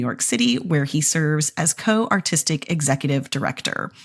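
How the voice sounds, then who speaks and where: A woman speaks fairly quickly in a somewhat breathy voice. Her fairly low pitch swings very widely. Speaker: podcast host. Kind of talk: podcast interview. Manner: enthusiastic, gushing.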